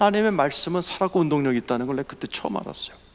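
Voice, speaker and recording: Noticeable background noise sits behind a man with a fairly high pitch. His tone is animated, and his pitch swings very widely. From Seoul, South Korea. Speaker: pastor. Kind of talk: sermon.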